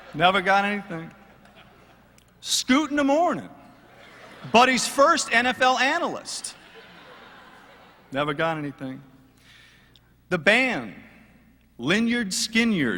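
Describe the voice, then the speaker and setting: A man speaks in a raised, projected voice at a high pitch, his pitch swinging very widely. His pace is fairly slow, with long, frequent pauses. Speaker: sports radio sideline reporter. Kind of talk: roast speech at live event.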